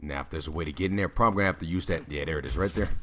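Noticeable background noise sits behind a man's voice. His pitch is very deep and low, with ordinary variation. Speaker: gaming YouTuber. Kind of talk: live gameplay commentary. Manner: casual, rambling.

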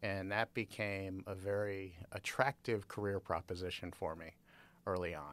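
In an unremarkable speaking voice with an American accent, a man talks at a moderate pace and a fairly low pitch, his intonation fairly even but his loudness swinging widely, on a very clean recording with a silent background. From Chicago area, US Midwest. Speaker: university professor. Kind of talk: interview.

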